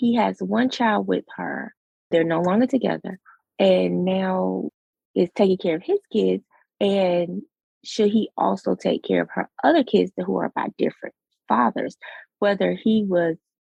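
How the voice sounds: A raspy woman's voice with vocal fry, a slightly husky edge and slightly mellow tone, fairly slow, in a dry, close sound with no echo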